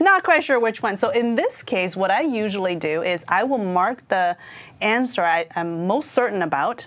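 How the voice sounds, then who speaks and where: The speaker keeps a moderate pace. The intonation is lively. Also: woman, medium pitch for a woman. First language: not English. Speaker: IT certification trainer. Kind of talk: exam prep discussion. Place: studio. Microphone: lapel.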